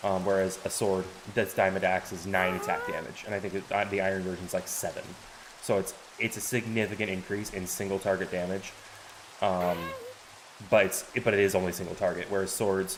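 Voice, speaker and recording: A man talks at a fairly quick pace in a very deep, low voice with monotone, flat intonation. Noticeable background noise runs underneath. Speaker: game streamer. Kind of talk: live gameplay tutorial. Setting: live stream. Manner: hesitant, many fillers.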